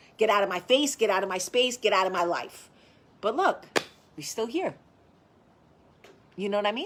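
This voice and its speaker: A woman with a strong New Jersey accent and an animated tone, medium pitch, ordinary pitch variation, moderate pace and long, frequent pauses. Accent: thick New Jersey. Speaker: vlogger. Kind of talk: casual chat. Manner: loud.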